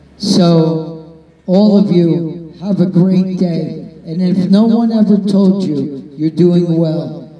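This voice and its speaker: Over noticeable background noise, a man speaks at a high pitch and a very slow pace. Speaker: event host. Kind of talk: live event emceeing. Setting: outdoors with live audience.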